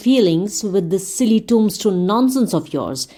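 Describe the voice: The clip features plain reading aloud, and the pitch varies in an ordinary way.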